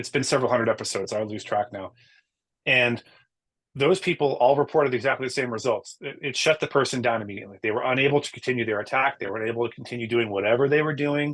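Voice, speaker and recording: The man speaks at a very fast pace and medium pitch. His pitch variation is ordinary. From US East Coast. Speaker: podcast host. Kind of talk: casual chat.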